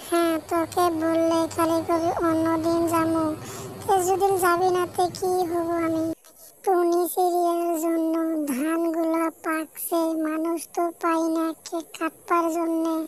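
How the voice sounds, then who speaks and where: This cartoonish character voice sits at an extremely high pitch. It moves at a fairly slow pace with monotone, flat intonation. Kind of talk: folk tale cartoon voicing.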